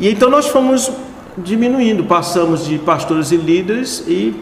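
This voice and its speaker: Noticeable background noise and audible room echo surround the voice. A man speaks at a fairly slow pace. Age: 70s. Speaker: pastor and conference founder. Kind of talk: interview.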